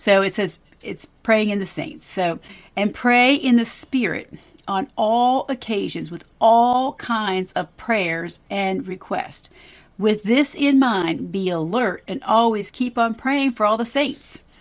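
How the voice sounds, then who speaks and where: Very slow, fairly high-pitched female speech with ordinary pitch variation. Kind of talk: devotional Bible discussion. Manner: conversational, enthusiastic.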